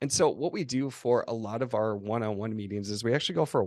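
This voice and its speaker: Speaking very fast at a medium pitch, a man talks with an American accent. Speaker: agency co-founder and CEO. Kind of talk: interview. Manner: halting with false starts.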